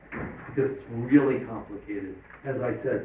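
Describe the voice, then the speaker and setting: Over noticeable background noise and audible room echo, a man speaks at a medium pitch. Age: 60s. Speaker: psychiatrist. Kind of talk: lecture. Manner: casual, conversational.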